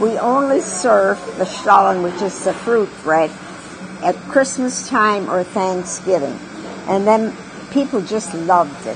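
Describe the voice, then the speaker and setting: Against noticeable background noise, the voice moves fairly slowly with lively intonation. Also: woman. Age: 80s+. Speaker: restaurant co-founder and cook. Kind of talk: interview answer.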